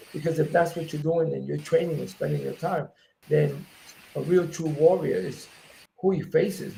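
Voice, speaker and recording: A man with a New York accent speaks at a moderate pace. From New York, South Bronx. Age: 60s. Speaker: MMA promoter and former fighter. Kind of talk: interview.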